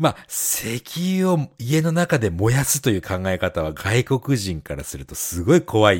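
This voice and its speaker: A man at a medium pitch talks at a fairly quick pace with hardly any pauses, his somewhat breathy voice showing very wide pitch swings and big swings in loudness, recorded dry and close with no echo against a silent background on a very clean recording. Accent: Japanese. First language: Japanese. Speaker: podcast co-host. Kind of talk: casual chat.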